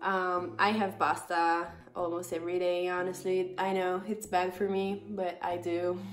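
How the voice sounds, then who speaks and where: A woman with an Italian accent speaks at a fairly slow pace with hardly any pauses, her pitch medium and her intonation fairly even. Noticeable background noise and audible room echo surround her voice. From northern Italy. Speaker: vlogger. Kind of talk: casual vlog talk. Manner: hesitant, with fillers.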